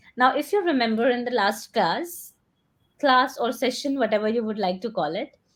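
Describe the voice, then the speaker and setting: A woman speaks high with an Indian accent. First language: Hindi. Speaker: English coach. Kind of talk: one-on-one spoken English lesson. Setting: video call.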